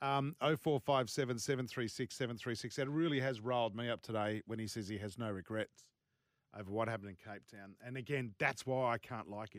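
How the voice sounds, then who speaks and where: The sound is dry and close with no echo, and the speech runs at a moderate pace with ordinary pitch variation. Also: man. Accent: Australian. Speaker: sports radio host. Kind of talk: casual radio chat. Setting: studio. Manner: animated.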